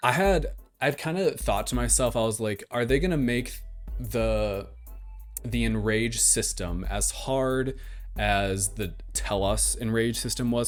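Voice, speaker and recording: Fairly slow speech with music in the background. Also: man. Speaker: podcast host. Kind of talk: casual podcast talk.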